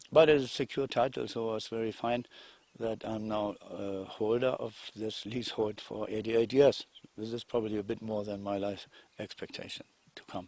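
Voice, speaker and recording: A man's medium-pitched voice in a German accent, at a moderate pace with fairly even intonation. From Germany. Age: 60s. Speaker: retired investor telling his story. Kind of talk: testimony. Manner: halting.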